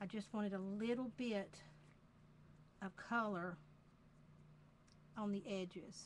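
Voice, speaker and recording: Speaking with a Southern US accent, a woman uses a medium pitch and fairly even intonation, sounding somewhat breathy at a fairly slow pace. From US South, Georgia. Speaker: craft demonstrator. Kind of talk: tutorial. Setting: live video stream.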